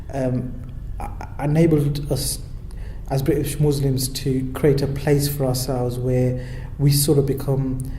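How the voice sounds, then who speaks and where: A man with a fairly high voice speaks fairly slowly in a flat monotone with long, frequent pauses, amid noticeable background noise and audible room echo. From Birmingham, England. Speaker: local councillor. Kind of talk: interview. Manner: hesitant, many repeated words.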